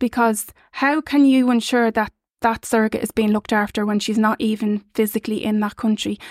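In a very clean recording with a silent background, a woman with an Irish accent talks at a fairly quick pace with a fairly high pitch and monotone, flat intonation. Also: dry, close sound with no echo. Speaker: surrogacy parent. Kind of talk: casual chat. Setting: studio.

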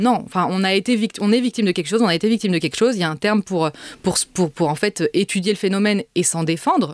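Very fast speech with ordinary pitch variation, in a dry, close sound with no echo. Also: woman. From Paris suburbs, France. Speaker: essayist and author. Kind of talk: interview. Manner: halting, repeats words.

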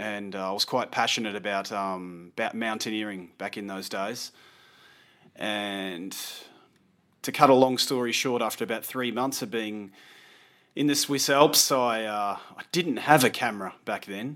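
A man with an Australian accent speaks at a fairly low pitch and a moderate pace with ordinary pitch variation, on a very clean recording with a silent background. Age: 40s. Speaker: landscape photographer. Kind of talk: casual interview.

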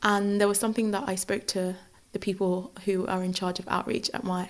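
A woman with a London accent speaks with fairly even intonation. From Nigeria, then northwest London from age 11. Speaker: law graduate. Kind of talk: interview.

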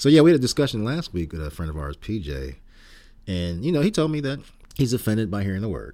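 A man's very fast speech with an American accent, a fairly low pitch, a dark, mellow tone and very wide pitch swings, on a very clean recording with a silent background. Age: 60s. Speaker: podcast host. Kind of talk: casual chat. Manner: casual, laid-back.

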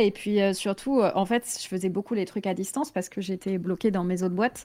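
Hardly pausing, a woman talks in an ordinary speaking voice. She has a medium pitch and ordinary pitch variation. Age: 40s. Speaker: Twitch streamer. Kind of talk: casual chat.

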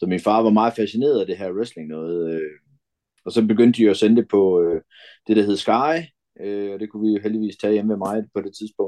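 Against a quiet background, a man with a fairly low, dark and mellow voice speaks at a moderate pace with ordinary pitch variation. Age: 50s. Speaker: pro wrestler. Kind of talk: casual interview. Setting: video call.

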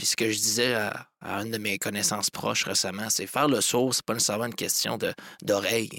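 With a normal speaking voice, a man talks at a moderate pace and a medium pitch. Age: young. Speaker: entrepreneur, agency co-owner. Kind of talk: casual interview.

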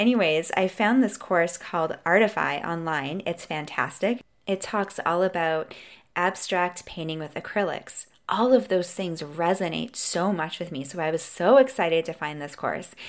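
This woman has an unremarkable speaking voice, fairly low in pitch with ordinary pitch variation. Her loudness swings widely, and the recording is very clean with a silent background. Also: moderate pace. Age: 40s. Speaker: podcast host, coach. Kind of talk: solo podcast monologue.

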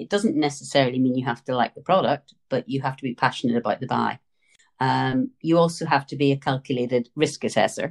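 Talking at a fairly quick pace with a Northern Irish accent, a woman uses a very deep, low pitch with vocal fry and ordinary pitch variation, in a dry, close sound with no echo. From Northern Ireland. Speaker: retail buying consultant. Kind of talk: interview.

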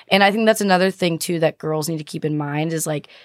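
A woman speaks in a plain, everyday voice at a fairly low pitch, with fairly even intonation. The recording is dry and close, with no echo. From Boston. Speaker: fitness podcaster and entrepreneur. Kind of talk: casual chat.

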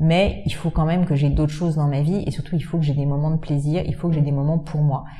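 A woman speaks at a very deep, low pitch in a flat monotone, with hardly any pauses. Her pace is very fast, and there is noticeable background noise. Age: 30s. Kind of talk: interview. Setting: in the guest's office.

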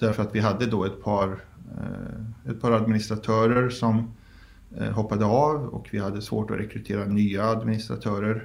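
Speaking in a fairly low voice at a moderate pace, a man keeps his intonation fairly even, with audible room echo around him. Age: 30s. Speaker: founder of a public document archive group. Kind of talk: interview.

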